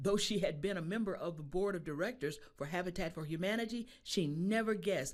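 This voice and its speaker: Delivered at a moderate pace with lively intonation, this is an ordinary speaking voice. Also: woman. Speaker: news reporter. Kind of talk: TV news narration.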